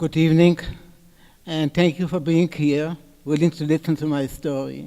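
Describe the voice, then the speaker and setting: Fairly high in pitch yet dark and mellow in tone, the man talks with monotone, flat intonation. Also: moderate pace. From Poland. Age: 90s. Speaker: Holocaust survivor speaker. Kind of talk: testimony talk.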